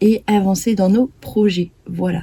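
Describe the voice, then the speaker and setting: A woman speaks very slowly in a medium pitch. Her dark, mellow tone is somewhat breathy. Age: 20s. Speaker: crafting vlogger. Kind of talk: casual chat. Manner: calm.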